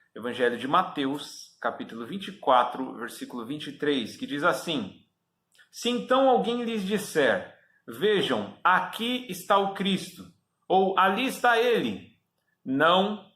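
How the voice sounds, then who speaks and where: Against a silent background in a very clean recording, a man speaks very slowly in a high pitch, his bright, sharp tone sweeping through very wide pitch swings. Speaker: preacher. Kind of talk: sermon.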